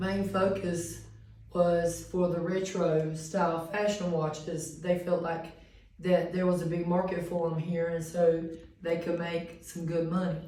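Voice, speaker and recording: Over noticeable background noise and audible room echo, a woman speaks fairly slowly in a fairly low monotone with flat intonation. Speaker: student. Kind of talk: class presentation.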